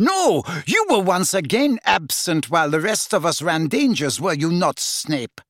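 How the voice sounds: In a put-on character voice, a man growls at a high pitch with big pitch swings and a fairly bright tone, the sound dry and close with no echo. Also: fairly slow pace.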